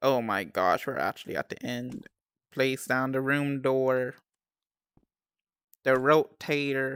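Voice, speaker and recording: Spoken at a very slow pace with long, frequent pauses, the voice keeps a fairly even intonation on a very clean recording with a silent background. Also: woman, very deep, low pitch for a woman. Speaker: game streamer. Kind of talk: live game stream tutorial. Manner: monotone.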